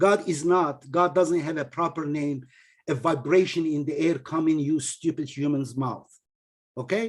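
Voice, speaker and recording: With a non-native accent, a man speaks at a moderate pace in a fairly high pitch with ordinary pitch variation. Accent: heavy non-native. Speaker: religious teacher and author. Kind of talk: online lecture with discussion. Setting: video call. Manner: animated.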